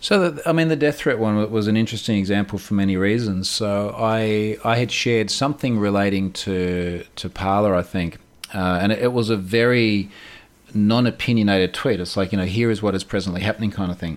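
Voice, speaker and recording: A man speaks with an Australian accent at a fairly low pitch. His pace is fairly quick. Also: ordinary pitch variation. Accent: Australian, audible. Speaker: security researcher. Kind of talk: interview conversation.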